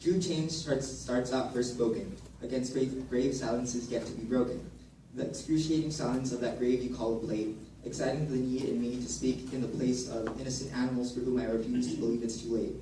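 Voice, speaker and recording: A man talking at a fairly quick pace, his intonation fairly even, with noticeable background noise. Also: medium pitch for a man. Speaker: university student. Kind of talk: poetry slam performance.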